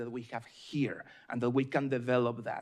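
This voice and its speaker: A man speaks with a slight Mexican accent. He keeps a fairly quick pace. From Mexico. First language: Spanish. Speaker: state environmental official, panelist. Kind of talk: panel discussion. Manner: hesitant fillers, repeats words.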